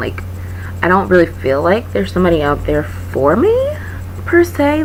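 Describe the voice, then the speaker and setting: At a moderate pace, a woman talks with very wide pitch swings, while noticeable background noise and audible room echo fill the recording. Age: 20s. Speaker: English teacher and vlogger. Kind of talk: casual vlog monologue. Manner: rambling, filler-heavy (like, um).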